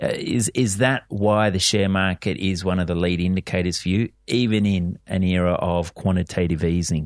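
A man with an Australian accent and a very deep, low pitch, at a moderate pace with hardly any pauses, fairly even intonation and very even loudness, against a quiet background in dry, close sound with no echo. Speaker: radio host. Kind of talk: radio interview. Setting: studio.

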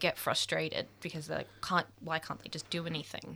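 This woman has an Australian accent and a bright, sharp tone. Her pitch is fairly low, and she speaks at a moderate pace. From Melbourne, Australia. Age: 20s. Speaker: photographer and youth advocate. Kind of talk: radio interview. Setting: radio studio. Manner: halting.

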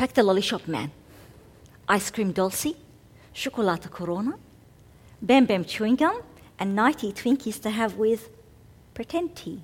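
A somewhat breathy, fairly high woman's voice with lively intonation at a moderate pace and long, frequent pauses. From Egypt. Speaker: spoken word poet. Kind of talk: poetry performance; interview.

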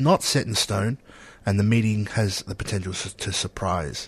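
A man with an Australian accent talks at a moderate pace in a fairly low, somewhat breathy voice, the sound dry and close with no echo and a quiet background. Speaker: radio host. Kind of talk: casual radio chat. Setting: studio.

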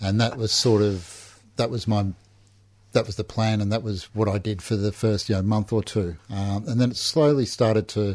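Fairly low in pitch, a man speaks at a moderate pace with fairly even intonation. The recording is very clean, with a silent background. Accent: Australian. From Melbourne, Australia. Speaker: recovering alcoholic. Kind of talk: personal testimony. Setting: radio studio. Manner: halting, many fillers.

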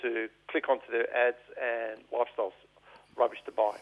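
Speaking in an Australian accent, a man keeps to a moderate speed. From Melbourne, Australia (eastern suburbs). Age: 50s. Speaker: political activist. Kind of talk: radio interview. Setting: radio studio.

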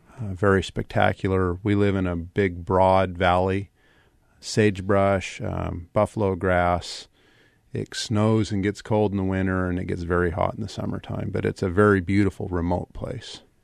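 A man with a very deep, low pitch speaks in a flat monotone with an American accent. His pace is moderate, and the background is quiet. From Wyoming, US. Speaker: farmer and anti-fracking campaigner. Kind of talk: interview.

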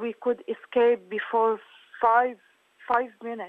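A woman's fairly high, flat monotone in an Arabic accent, at a fairly slow pace. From Syria. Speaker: refugee artist and activist. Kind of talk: interview. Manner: halting.

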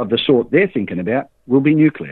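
The speaker has an Australian accent. The intonation is lively. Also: man. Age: 60s. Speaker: cooperative organiser. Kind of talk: interview. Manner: halting, repeats words.

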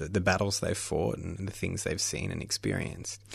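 The background is quiet. He talks with an Australian accent. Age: 30s. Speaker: documentary filmmaker. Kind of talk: interview.

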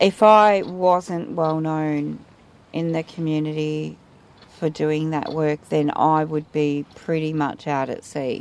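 A woman speaks at a very slow pace. Her pitch is very deep and low, and her intonation fairly even. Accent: Australian. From Australia, Geelong, Victoria. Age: 40s. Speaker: community activist. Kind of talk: recorded interview.

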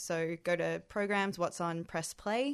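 A woman has an ordinary speaking voice, fairly low in pitch, with ordinary pitch variation. She speaks at a moderate pace against a quiet background. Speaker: actor. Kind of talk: radio interview.

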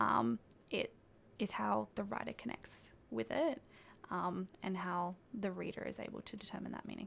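This woman, with an Australian accent, keeps her speech at a moderate pace. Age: 20s. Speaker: writer and editor. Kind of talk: interview. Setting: radio studio.

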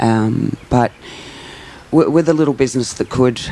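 A dark, mellow tone at a moderate pace, with ordinary pitch variation. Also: woman, extremely low pitch for a woman.

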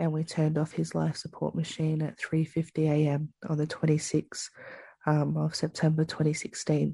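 At a moderate pace, a woman speaks in an Australian accent. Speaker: First Nations justice campaigner. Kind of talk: interview.

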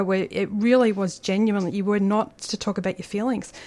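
A woman speaks in an Australian accent, her pitch sitting in the medium range. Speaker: community radio host. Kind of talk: radio interview. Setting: radio studio.

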